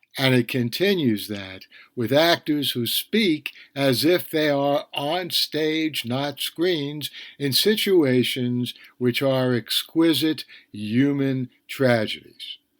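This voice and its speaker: Recorded very cleanly with a silent background and a dry, close sound without echo, a man with an American accent speaks very slowly at a fairly high pitch with ordinary pitch variation. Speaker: podcast TV critic. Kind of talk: solo podcast review.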